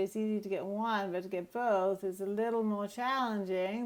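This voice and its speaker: Her intonation fairly even, a woman talks in a medium pitch. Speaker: drawing teacher. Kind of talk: tutorial. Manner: slow; casual.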